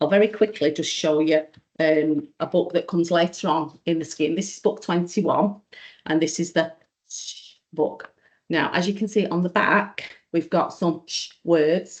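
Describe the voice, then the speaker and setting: A woman's fairly low voice in an English accent, fairly even in intonation, at a moderate pace with long, frequent pauses. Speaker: teacher. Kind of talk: online training presentation.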